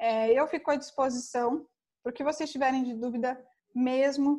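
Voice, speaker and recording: The woman's voice sits high. Its intonation is fairly even. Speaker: finance consultant. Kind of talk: online lecture. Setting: online event.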